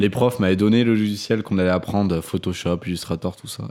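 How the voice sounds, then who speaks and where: This man's voice is dark and mellow, with ordinary pitch variation. The recording is very clean, with a silent background. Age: 20s. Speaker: video production entrepreneur. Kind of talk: casual chat.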